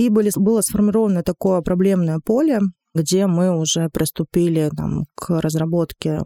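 Her voice is fairly low in pitch with a dark, mellow tone, moving at a moderate pace with ordinary pitch variation, and the sound is dry and close with no echo. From Monchegorsk, Murmansk region, Russia. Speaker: director of a city development agency. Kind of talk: podcast interview.

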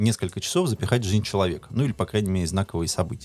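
A man's fairly low voice, a normal speaking voice with ordinary pitch variation. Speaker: podcast co-host. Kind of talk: casual chat.

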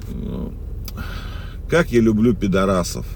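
Noticeable background noise accompanies a man who speaks fairly slowly at a fairly low pitch, with very wide pitch swings. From former Soviet Union. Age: 40s. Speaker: video blogger. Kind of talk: casual monologue. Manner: rambling, halting.

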